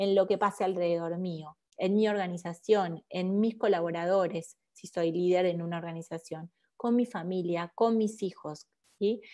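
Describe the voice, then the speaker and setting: Her tone is dark and mellow, and she keeps a moderate speed. Little sound intrudes from behind. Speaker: leadership speaker. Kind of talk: webinar lecture.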